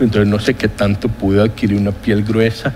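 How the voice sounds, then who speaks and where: A man's fairly low voice comes through with noticeable background noise around it. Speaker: economist, former public health-insurance head. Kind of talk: interview. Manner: formal.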